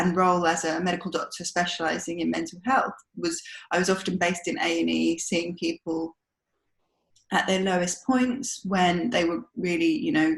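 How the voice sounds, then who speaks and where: A woman with a London accent speaks at a medium pitch with ordinary pitch variation, her voice somewhat breathy. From South London. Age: 30s. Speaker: doctor and cancer patient. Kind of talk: personal testimony in podcast interview. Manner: hesitant, many fillers.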